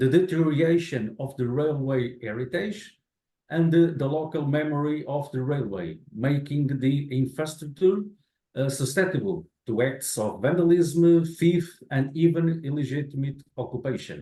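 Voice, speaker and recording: At a moderate pace, a man with a Portuguese accent speaks in a somewhat breathy, dark, mellow tone at a fairly high pitch, with ordinary pitch variation and audible room echo. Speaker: infrastructure manager. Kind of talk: lecture.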